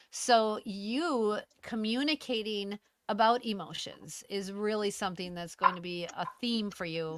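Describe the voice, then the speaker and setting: At a fairly slow pace, a woman speaks with fairly high pitch, ordinary pitch variation and big swings in loudness. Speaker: astrologer. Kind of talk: live stream chat. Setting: live video stream. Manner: talkative.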